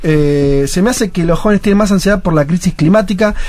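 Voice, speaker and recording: High-pitched male voice with a Rioplatense accent, fairly quick in pace, with ordinary pitch variation. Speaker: radio host. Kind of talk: casual chat.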